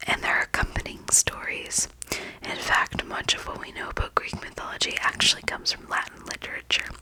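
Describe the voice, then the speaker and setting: Over noticeable background noise, a woman whispers at a moderate pace. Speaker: ASMR creator. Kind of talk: ASMR sleep reading. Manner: whispered, soft.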